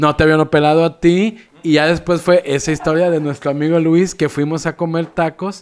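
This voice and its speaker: A man with a Mexican accent, fairly high pitch, moderate pace and monotone, flat intonation. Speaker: podcast co-host. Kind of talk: casual chat.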